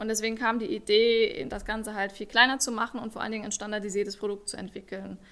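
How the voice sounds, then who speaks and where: A woman with a fairly high pitch speaks at a very fast pace. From Saarland, Germany. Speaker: startup founder. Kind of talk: interview.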